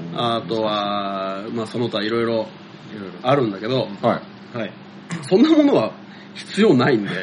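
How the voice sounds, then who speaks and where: Amid noticeable background noise, a man speaks at a moderate pace and medium pitch, with ordinary pitch variation and long, frequent pauses. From Kanagawa, Japan (Sagamihara). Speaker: podcast host. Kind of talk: casual chat.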